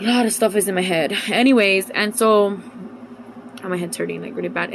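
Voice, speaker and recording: A woman's medium-pitched, animated voice against noticeable background noise. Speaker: religious vlogger. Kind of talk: casual vlog monologue. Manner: fast.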